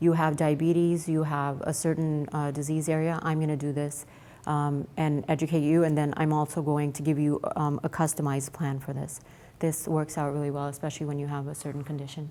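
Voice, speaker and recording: A quiet woman speaks at a fairly quick pace with a very deep, low pitch, a dark, mellow tone and monotone, flat intonation. Audible room echo surrounds her voice. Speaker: pharma executive and physician giving a keynote. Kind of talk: keynote presentation. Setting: stage with audience at event. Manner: fast; too quiet.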